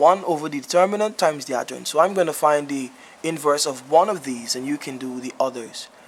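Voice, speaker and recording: Noticeable background noise around a man's fairly quick pace and ordinary pitch variation. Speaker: math teacher. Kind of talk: tutorial.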